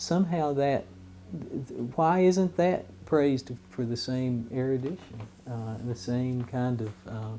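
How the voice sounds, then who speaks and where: With an American accent, a man speaks fairly slowly at a medium pitch, his intonation lively. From Southwest Virginia. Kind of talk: documentary interview. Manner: halting, many fillers.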